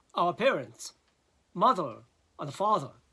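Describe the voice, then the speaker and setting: This man has a high pitch and a bright, sharp tone. He talks at a fairly slow pace. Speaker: philosophy lecturer. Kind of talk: lecture. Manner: halting, many fillers.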